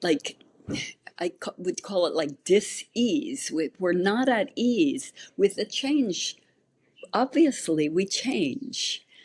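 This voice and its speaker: Very slowly and somewhat breathily, a woman speaks at a fairly high pitch with very wide pitch swings. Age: 60s. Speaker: naturopathic physician. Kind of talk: interview.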